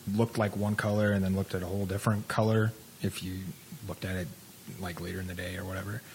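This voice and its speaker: A man's fairly low-pitched voice against noticeable background noise. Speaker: radio talk show co-host. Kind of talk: casual chat. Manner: mumbling.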